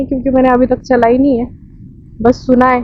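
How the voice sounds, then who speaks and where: A woman's high-pitched speech comes through noticeable background noise. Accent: Marathi. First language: Marathi (speaking Hindi). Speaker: travel vlogger. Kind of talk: casual vlog.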